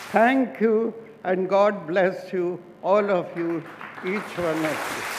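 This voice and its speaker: Amid crowd noise and audible room echo, a man speaks very slowly in a high pitch with ordinary pitch variation. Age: 80s+. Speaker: restaurant founder. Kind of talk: award acceptance speech.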